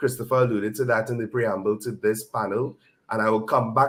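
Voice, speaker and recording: The man's pitch is medium, and he moves through his words at a fairly quick pace. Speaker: conference panelist. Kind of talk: panel discussion. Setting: conference stage.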